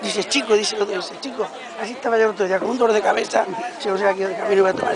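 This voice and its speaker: Over crowd noise in the background, a woman speaks in a dry sound with no echo. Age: old. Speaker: grandmother telling a joke. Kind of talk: joke telling to students. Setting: outdoors market. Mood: playful storytelling. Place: market. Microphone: phone near.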